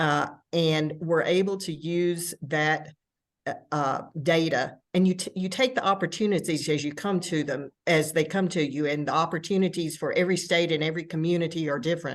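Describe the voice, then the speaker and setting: With a quiet background, a woman in a Tennessee accent talks at a moderate pace, fairly low in pitch and fairly even in intonation. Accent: Southern US (Tennessee), self-noted. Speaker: arts administrator. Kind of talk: panel discussion.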